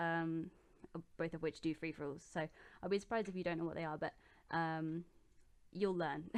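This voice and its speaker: With a southern English accent, a woman speaks at a fairly quick pace but with long, frequent pauses, her fairly low pitch held in monotone, flat intonation against a quiet background. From southeast England, Oxfordshire. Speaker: gaming YouTuber. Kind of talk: casual Q&A vlog. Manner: hesitant, many ums.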